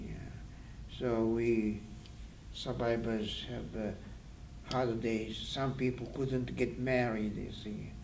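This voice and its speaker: A man's speech at a very slow pace, with audible room echo. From Japan, Hiroshima. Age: 80s+. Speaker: atomic bomb survivor. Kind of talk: interview testimony. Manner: halting.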